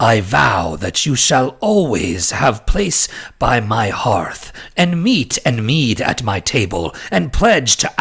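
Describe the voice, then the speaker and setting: Putting on a character voice, a man speaks at a medium pitch. His pace is fairly slow. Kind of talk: solemn, old-fashioned. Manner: grand, dramatic.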